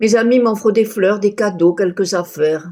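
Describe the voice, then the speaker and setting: Ordinary pitch variation marks a voice of dark, mellow tone. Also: woman. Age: 80s+. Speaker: storyteller recounting hospital stay. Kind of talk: personal storytelling. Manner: conversational, slightly halting.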